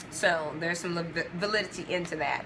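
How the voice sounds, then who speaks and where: A woman speaks at a moderate pace in a fairly low pitch. Noticeable background noise and audible room echo surround her voice. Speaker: video blogger sharing customer experience. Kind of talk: casual talk to camera answering questions. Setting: at home. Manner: soft-spoken, talking low.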